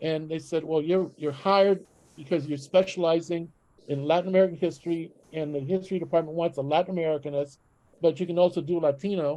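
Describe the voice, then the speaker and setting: Speaking at a very fast pace, the man has a high pitch, a dark, mellow tone, and a monotone, flat intonation. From Chicago, raised by Mexican immigrants. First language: Spanish. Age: 70s. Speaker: history professor. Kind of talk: panel discussion. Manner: casual, halting with fillers.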